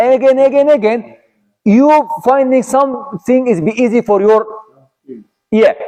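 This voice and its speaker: A man with an Arabic accent speaks at an extremely high pitch in a dark, mellow tone, with ordinary pitch variation. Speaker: Islamic teacher. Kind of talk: religious lecture. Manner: halting.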